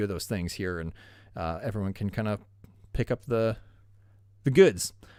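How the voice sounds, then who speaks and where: In a very clean recording with a silent background, a man speaks with lively intonation at a fairly quick pace. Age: 30s. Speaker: YouTube space channel host. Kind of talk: live stream Q&A chat. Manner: casual, hesitant with many fillers; enthusiastic.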